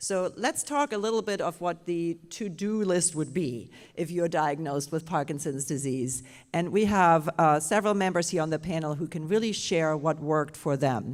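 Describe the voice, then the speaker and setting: Speaking with a German accent, a woman has a fairly low pitch and ordinary pitch variation. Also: moderate pace, very clean recording, silent background. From Germany. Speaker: panel moderator, Parkinson's specialist. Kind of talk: panel discussion at live symposium.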